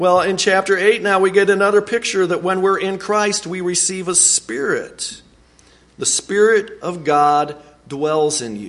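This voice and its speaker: At a fairly slow pace, the speaker talks with ordinary pitch variation. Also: man, high pitch for a man. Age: 40s. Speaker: preacher. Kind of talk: sermon. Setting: church. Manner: halting.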